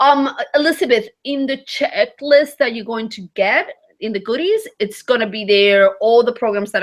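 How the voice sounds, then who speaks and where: With a non-native accent, a woman speaks at a moderate pace in a fairly high pitch and lively intonation. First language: not English. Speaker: vacation rental host and webinar coach. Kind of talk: webinar teaching. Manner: casual, many fillers.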